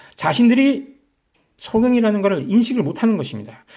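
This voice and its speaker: Audible room echo surrounds this man's voice. He speaks at a moderate pace with a high pitch. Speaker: lay preacher on video channel. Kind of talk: sermon-style bible teaching. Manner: halting.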